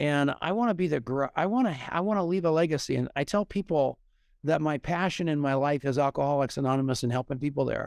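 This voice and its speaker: In an American accent, a man talks at a very fast pace with fairly high pitch and very even loudness, his voice dry and close with no echo against a quiet background. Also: ordinary pitch variation. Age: 70s. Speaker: business speaker and network marketer. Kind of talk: podcast interview. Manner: animated.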